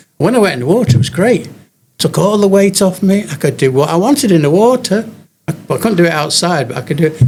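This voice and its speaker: Talking at a very fast pace, a man's voice moves through very wide pitch swings. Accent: English. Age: 80s+. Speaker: elderly gym-goer. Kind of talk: interview. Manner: halting.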